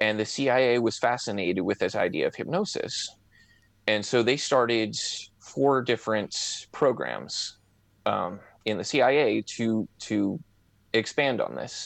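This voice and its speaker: Over a quiet background, a man speaks at a fairly slow pace in a medium-pitched voice with vocal fry and ordinary pitch variation. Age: 30s. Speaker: amateur hypnotist and online forum moderator. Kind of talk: casual interview.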